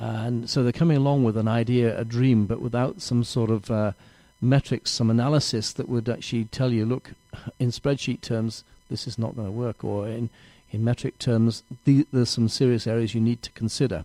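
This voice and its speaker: A man with an English accent talks at a moderate pace and medium pitch in a dark, mellow tone with fairly even intonation. The very clean recording has a silent background and a dry, close sound with no echo. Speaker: small business mentor. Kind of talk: interview.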